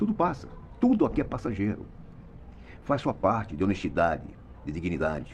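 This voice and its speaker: Using vocal fry at a very deep, low pitch, a man speaks at a fairly quick pace with very wide pitch swings and long, frequent pauses. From Brazil, Mato Grosso. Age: 70s. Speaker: retired radio and TV journalist. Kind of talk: opinion monologue. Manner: animated.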